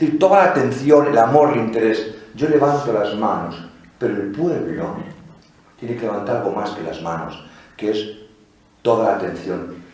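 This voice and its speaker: A man with a Madrid accent and medium pitch speaks at a moderate pace with lively intonation and long, frequent pauses, amid audible room echo and noticeable background noise. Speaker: priest giving a liturgy lecture. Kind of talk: lecture. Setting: basilica with live audience. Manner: animated, conversational.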